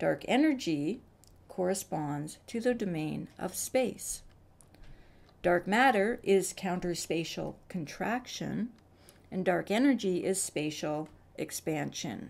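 Using vocal fry, a woman of medium pitch talks at a very slow pace, her intonation lively. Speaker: science video creator. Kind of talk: explainer narration.

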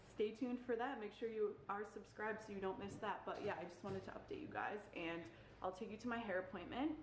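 Over light background noise and audible room echo, a woman with an American accent talks at a fairly quick pace. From Connecticut. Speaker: lifestyle vlogger. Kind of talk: casual vlog. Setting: at home. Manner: animated. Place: home room. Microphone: phone near.

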